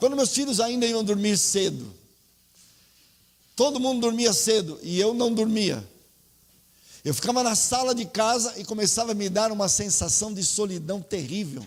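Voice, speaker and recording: Pitched high for a man, with ordinary pitch variation, he talks at a moderate pace with long, frequent pauses amid audible room echo. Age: 60s. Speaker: pastor. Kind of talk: sermon.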